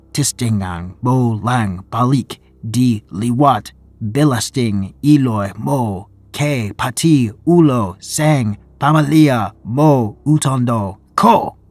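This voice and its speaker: A man speaks at a medium pitch in a put-on character voice. His pace is very slow. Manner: angry shout.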